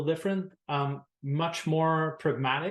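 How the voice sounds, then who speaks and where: A man with a non-native accent speaks at a fairly slow pace with fairly even intonation. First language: French. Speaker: researcher. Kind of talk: webinar presentation. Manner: halting.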